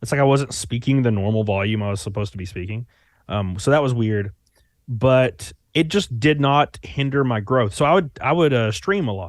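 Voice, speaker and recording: The recording is very clean, with a silent background. A man talks at a medium pitch with lively intonation. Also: moderate pace. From US South, Alabama. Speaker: YouTuber and streamer. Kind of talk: casual interview chat. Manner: casual, filler-heavy.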